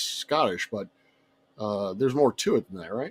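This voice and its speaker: Speaking slowly with an American accent, a man swings his pitch very widely. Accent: muddled Southern US. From US South. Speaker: guest talking about tabletop games. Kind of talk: casual chat. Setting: live stream.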